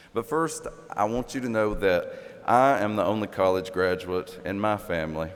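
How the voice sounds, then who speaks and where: Over noticeable background noise, a man speaks at a moderate pace and a fairly low pitch, with ordinary pitch variation. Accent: Appalachian. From southeastern Kentucky. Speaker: commencement speaker, professor. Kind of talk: commencement address. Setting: graduation ceremony in arena.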